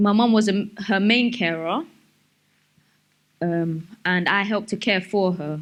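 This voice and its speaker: In a South London accent, a woman speaks at a medium pitch and a fairly slow pace, with ordinary pitch variation, long, frequent pauses and a quiet background. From South London, England. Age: 20s. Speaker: speaker sharing life story. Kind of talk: personal testimony talk. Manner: halting, many fillers.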